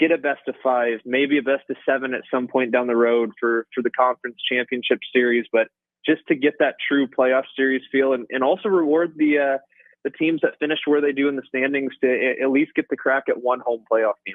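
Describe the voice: A man at a fairly quick pace, fairly even intonation, dry, close sound with no echo. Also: medium pitch for a man.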